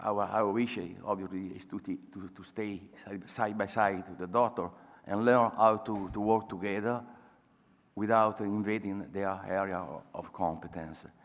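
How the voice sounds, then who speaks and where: This man speaks in an Italian accent at a moderate pace. His loudness swings widely. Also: fairly low pitch for a man, fairly even intonation. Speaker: patient advocate. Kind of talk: conference talk. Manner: halting.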